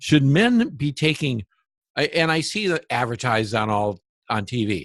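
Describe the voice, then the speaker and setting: A man speaks in an ordinary speaking voice at a moderate pace, with lively intonation over a quiet background. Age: 60s. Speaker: interviewer on alternative health. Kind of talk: interview.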